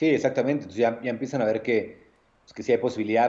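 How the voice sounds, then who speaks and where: Speaking with fairly even intonation, a man has a medium pitch and a dark, mellow tone. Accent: Mexico City. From Mexico, Nezahualcóyotl (State of Mexico). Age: 30s. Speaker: bartender / mixologist. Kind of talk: casual chat.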